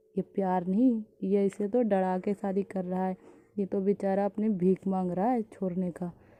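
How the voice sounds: The clip presents a natural reading voice.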